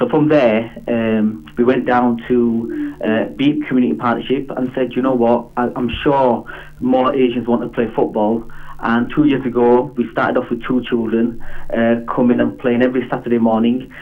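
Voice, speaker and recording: A man at medium pitch with fairly even intonation and very even loudness. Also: moderate pace. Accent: Yorkshire. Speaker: community football club founder. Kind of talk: phone interview. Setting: phone call. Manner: halting.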